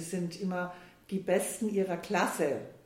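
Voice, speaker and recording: A woman speaks at a medium pitch in a monotone, flat intonation. Noticeable background noise runs underneath. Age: 60s. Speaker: financial adviser turned money coach. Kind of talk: casual interview. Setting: in person at the host's office.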